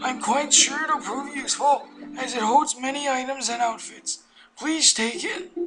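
A put-on character voice performs over clear music in the background. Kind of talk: polite formal. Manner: gentle helpful.

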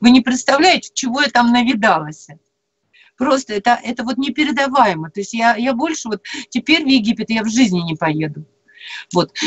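High-pitched woman's voice at a moderate pace, with very wide pitch swings and long, frequent pauses. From Perm region, Russia. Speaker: storyteller and former teacher; storyteller, former teacher. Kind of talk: live radio talk. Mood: earnest, animated storytelling. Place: home room. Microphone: video call.

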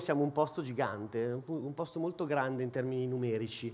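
Very fast pace from a man, ordinary pitch variation throughout. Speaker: head of sales, conference speaker. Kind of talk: conference talk. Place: hall. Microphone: headset.

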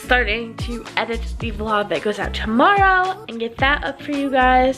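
Clear music sits in the background as a woman talks at a moderate pace. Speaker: vlogger. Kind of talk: casual vlog chat. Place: home room. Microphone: phone near.

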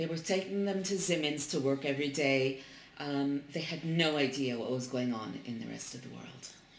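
Delivered at a moderate pace with ordinary pitch variation, the speech carries audible room echo and light background noise. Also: woman, very deep, low pitch for a woman. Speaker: interviewer. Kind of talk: interview translation. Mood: calm, somber. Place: home room. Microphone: camera far.

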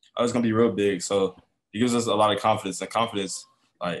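Noticeable background noise sits under a man speaking at a very fast pace in a fairly low pitch. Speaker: college basketball point guard. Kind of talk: postgame press conference. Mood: relaxed, smiling, upbeat. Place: meeting room. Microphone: webcam.

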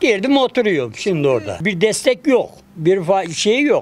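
At a moderate pace, a man is talking. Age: 70s. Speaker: construction worker, earthquake survivor. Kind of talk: interview answer. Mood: weary, complaining about hardship. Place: street. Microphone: handheld.

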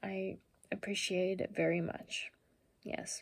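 A woman speaks quietly and very slowly. Her voice is somewhat breathy. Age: 20s. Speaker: vlogger. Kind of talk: casual talk to camera. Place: home room. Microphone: phone near.

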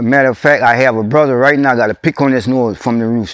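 A man talks fairly quickly with a South Louisiana accent and ordinary pitch variation. The sound is dry with no echo, and the background is quiet. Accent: South Louisiana rural English. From Louisiana, USA. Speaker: oral history interviewee. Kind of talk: oral history interview answer. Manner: casual, conversational. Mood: warm, nostalgic storytelling. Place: open country.

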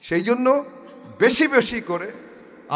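Over music in the background, a man talks in a high-pitched voice. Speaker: barrister giving a religious talk. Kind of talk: personal appeal for prayers; religious sermon (waz). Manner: halting, many pauses.

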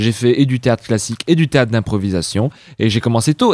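Lively intonation marks this man's speech at a moderate pace. The sound is dry with no echo, over a quiet background. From France, Savoie. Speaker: actor, writer and singer; actor. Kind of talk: interview. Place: home room. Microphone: handheld.

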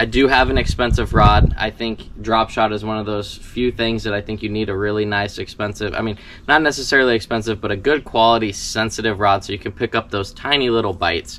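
Here a man with a fairly low pitch talks at a very fast pace. His intonation stays fairly even. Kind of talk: tutorial. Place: garden. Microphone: camera far.

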